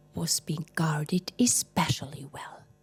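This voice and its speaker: A woman with a very deep, low voice speaks at a very slow pace while music plays in the background. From Switzerland. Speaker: storyteller. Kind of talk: fairy tale storytelling.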